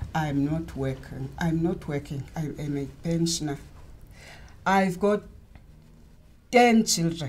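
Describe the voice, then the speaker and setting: A woman speaks at a very slow pace with a somewhat breathy voice, fairly low in pitch. Her pitch varies in an ordinary way, and she leaves long, frequent pauses. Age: 60s. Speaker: pensioner. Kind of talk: interview.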